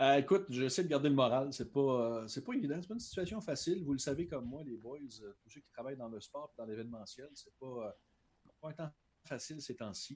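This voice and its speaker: This man speaks with a Quebec accent. His pace is fairly quick and his pitch variation ordinary. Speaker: translator and sports broadcaster. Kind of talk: casual interview.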